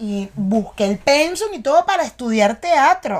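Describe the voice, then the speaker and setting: This woman's voice is high-pitched, with a Venezuelan accent. The recording is very clean, with a silent background. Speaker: podcast host and actress. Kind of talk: casual chat. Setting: studio in New York.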